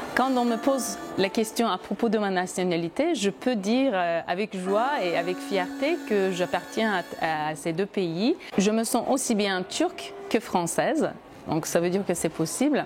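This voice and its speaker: With music in the background, a woman speaks fairly slowly at medium pitch, with lively intonation and very even loudness. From Turkey (Izmir). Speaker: wine educator and former cultural journalist. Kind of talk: interview. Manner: hesitant, many fillers.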